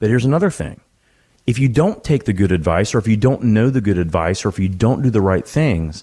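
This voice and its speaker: With a dark, mellow tone and fairly low pitch, a man speaks at a fairly quick pace using lively intonation. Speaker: financial advisor and radio host. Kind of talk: radio show conversation.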